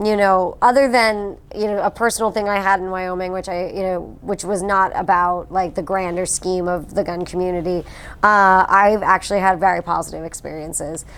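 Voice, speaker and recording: A woman with a medium-pitched voice speaks with hardly any pauses. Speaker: firearms historian and expert witness. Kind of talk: interview. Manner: fast; animated.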